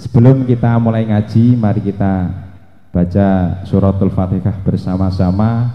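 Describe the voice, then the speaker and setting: A man's fairly low voice with a Javanese accent, at a fairly slow pace and fairly even intonation, with audible room echo. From Java, Indonesia. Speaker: Islamic preacher. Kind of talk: religious sermon.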